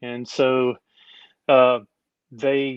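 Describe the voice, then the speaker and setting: A man with an East Texas accent and a fairly high pitch. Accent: East Texas Southern US. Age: 50s. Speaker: overlander and former rock crawler. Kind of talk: casual interview chat.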